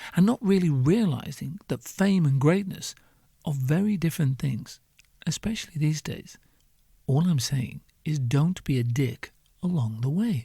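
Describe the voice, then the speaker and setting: A dark, mellow tone marks this voice, which is also somewhat breathy. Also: man, fairly high pitch for a man, lively intonation, moderate pace. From northern England. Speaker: podcast host. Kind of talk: comedic monologue. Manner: animated.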